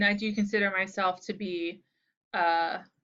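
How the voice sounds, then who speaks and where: Soft-spoken, a woman talks at a medium pitch. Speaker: university instructor. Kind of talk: recorded lecture video.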